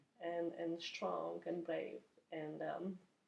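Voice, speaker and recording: A woman talks with vocal fry. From Poland. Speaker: oncology nurse. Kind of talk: interview. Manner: halting, many repetitions.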